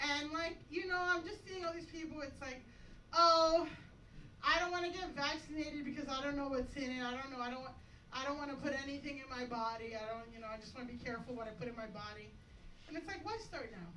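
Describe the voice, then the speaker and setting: With an American accent, a woman speaks in a raised, projected voice that is high, bright and sharp in tone. Her fairly quick delivery has lively intonation and audible room echo. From Florida, Dominican family. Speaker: stand-up comedian. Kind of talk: stand-up. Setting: stage with audience.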